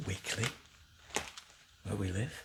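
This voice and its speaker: Soft-spoken, a man talks at a moderate pace against noticeable background noise. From Northern England. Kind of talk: ASMR newspaper reading.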